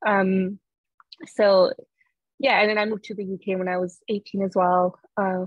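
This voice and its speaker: A woman's medium-pitched, monotone, flat voice at a moderate pace, broken by long, frequent pauses. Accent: French. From France. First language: French. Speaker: author. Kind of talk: interview.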